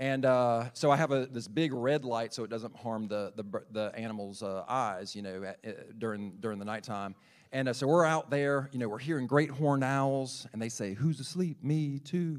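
Speaking with a Southern US accent, a man keeps a moderate pace and hardly any pauses. His medium pitch shows ordinary variation, and the very clean recording has a silent background. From South Carolina, Lexington area. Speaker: birding enthusiast and nature teacher. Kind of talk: sermon talk to congregation.

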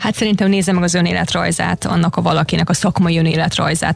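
Over music in the background, a woman with a fairly low pitch talks at a fairly quick pace with fairly even intonation. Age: 40s. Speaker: yoga instructor. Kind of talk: radio interview. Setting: radio studio.

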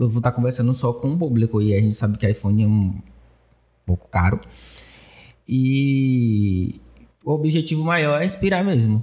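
This man talks at a moderate pace with long, frequent pauses and very even loudness. His medium-pitched voice has a dark, mellow tone and is somewhat breathy. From Bahia, Brazil (Pojuca). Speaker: video editing content creator. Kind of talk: casual interview.

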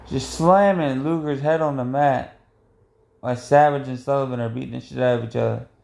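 A man talks fairly quickly at a medium pitch. His is a plain, everyday voice with fairly even intonation. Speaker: wrestling podcast host. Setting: recording alone, watching the match with no sound. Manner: casual, profane, unpolished.

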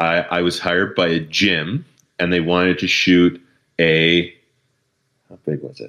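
At a fairly slow pace with long, frequent pauses, a man with a Canadian accent speaks in a very deep, low pitch, his intonation fairly even but his loudness swinging widely. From Canada, Eastern Ontario. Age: 30s. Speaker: hobbyist night photographer. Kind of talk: casual interview chat.

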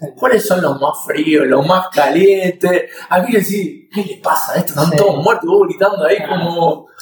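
A man's high voice at a fairly slow pace, with ordinary pitch variation and hardly any pauses. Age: 40s. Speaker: podcast host. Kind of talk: interview.

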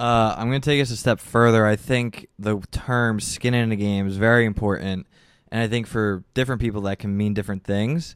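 On a very clean recording with a silent background, a man talks fairly quickly at a medium pitch. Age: 20s. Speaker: public relations worker and podcaster. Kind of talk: casual chat. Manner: animated.

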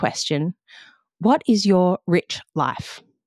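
The voice carries an Australian accent. The sound is dry and close with no echo, on a very clean recording with a silent background. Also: woman. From Western Australia (Margaret River). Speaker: podcast host and coach. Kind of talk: solo podcast monologue.

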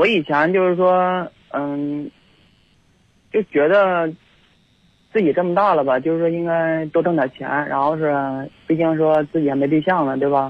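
Speaking at a moderate pace with fairly even intonation, a man with a fairly high voice leaves long, frequent pauses. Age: 30s. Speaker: hotel security guard, caller. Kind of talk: phone-in chat. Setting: phone call. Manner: halting.

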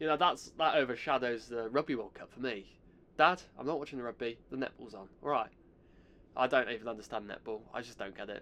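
Speaking at a fairly quick clip in an English accent, a man of medium pitch shows ordinary pitch variation and big swings in loudness. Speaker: podcast host. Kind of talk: casual solo chat.

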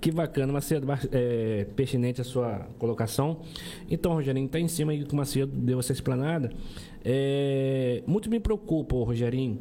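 A man speaks in an unremarkable speaking voice at a moderate pace. His pitch is medium with ordinary variation, and his loudness stays very even. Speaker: podcast co-host. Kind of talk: casual interview chat.

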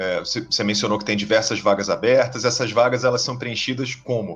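A man speaks with a Carioca accent. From Rio de Janeiro, Brazil. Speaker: podcast host. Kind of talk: interview.

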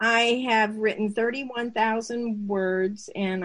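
A woman talks at a very slow pace. Her intonation stays fairly even. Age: 60s. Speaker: mother and developmental editor, aspiring author. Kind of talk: casual interview.

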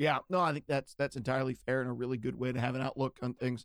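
On a very clean recording with a silent background, a man with an American accent talks at a very fast pace, the sound dry and close with no echo. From western Pennsylvania. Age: 30s. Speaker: podcast host. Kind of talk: casual chat.

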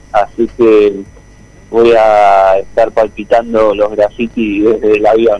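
In a monotone, flat delivery, a man with a fairly low pitch and a dark, mellow tone speaks very slowly at very even loudness. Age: 40s. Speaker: singer-songwriter. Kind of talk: interview.

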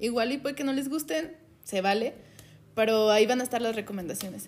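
A woman's plain, everyday voice, fairly high in pitch, at a fairly quick pace with ordinary pitch variation. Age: 20s. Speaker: podcast co-host, HR worker. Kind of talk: casual chat.

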